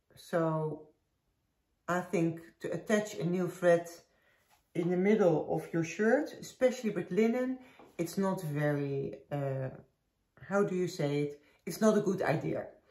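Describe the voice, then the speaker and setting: A woman with a slight Dutch accent speaks at a fairly slow pace and a fairly low pitch, her lively intonation broken by long, frequent pauses. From Netherlands. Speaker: knitting podcaster. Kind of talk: casual chat. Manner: halting.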